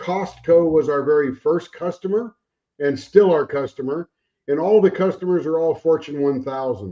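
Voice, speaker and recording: With an American accent, a man talks at a moderate pace in an ordinary speaking voice, using ordinary pitch variation. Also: fairly high pitch for a man. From Arizona. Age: 60s. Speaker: navy veteran, account manager. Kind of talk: casual chat.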